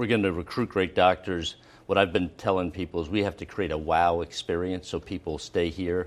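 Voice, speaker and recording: With an American accent, this man has a very deep, low pitch. He moves at a fairly quick pace with fairly even intonation. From Philadelphia, US. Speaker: hospital system executive. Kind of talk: TV interview. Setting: studio.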